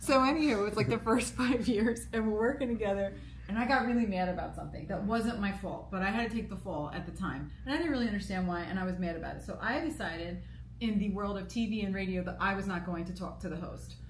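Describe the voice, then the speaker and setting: Talking at a very fast pace with an American accent, a woman is heard through noticeable background noise and audible room echo. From US East Coast, New York. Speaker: radio co-host and producer. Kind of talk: casual chat. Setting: live broadcast at political convention.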